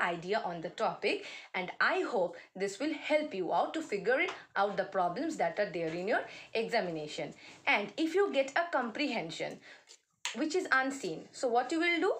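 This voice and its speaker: Her fairly high-pitched voice makes very wide pitch swings as the woman speaks. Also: moderate pace. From India, West Bengal. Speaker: college English teacher. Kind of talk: lecture. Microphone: phone near.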